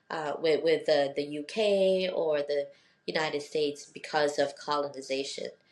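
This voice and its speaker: A woman's very deep, low voice holds fairly even intonation as she talks at a moderate speed. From Philippines and Northern Mariana Islands. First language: Tagalog. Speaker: law professor. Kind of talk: interview conversation.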